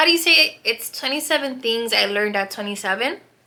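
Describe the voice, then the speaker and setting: The recording is very clean, with a silent background. A woman speaks in a bright, sharp tone at a fairly high pitch. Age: 20s. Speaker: podcast host. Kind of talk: casual chat. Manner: casual, rambling with fillers.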